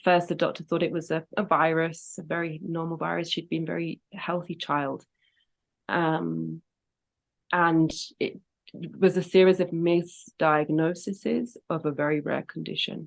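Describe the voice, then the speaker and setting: In a British accent, a woman speaks at a fairly slow pace with a fairly low pitch and monotone, flat intonation against a quiet background. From Britain. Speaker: singer and grief educator. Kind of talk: interview.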